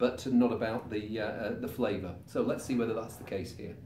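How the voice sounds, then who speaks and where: The speech moves at a fairly quick pace with fairly even intonation, light background noise and audible room echo. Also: man. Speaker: wine reviewer. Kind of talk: wine tasting commentary. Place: home room.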